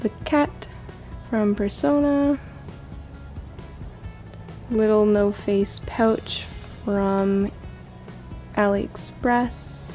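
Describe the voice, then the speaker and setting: Very slow speech with long, frequent pauses and very even loudness, over faint music in the background. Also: woman. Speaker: room tour vlogger. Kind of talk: casual show-and-tell tour. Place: home room.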